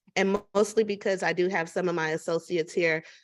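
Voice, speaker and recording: A woman with a plain, everyday voice, fairly low in pitch, fairly even intonation and a moderate pace over a quiet background. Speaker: business consultant and networking event host. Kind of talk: online networking event facilitation.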